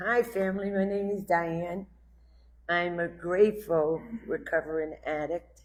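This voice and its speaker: A woman's fairly low voice with a New York accent, fairly slow and fairly even in intonation. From Brooklyn, New York. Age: 60s. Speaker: recovering addict sharing story. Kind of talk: personal testimony.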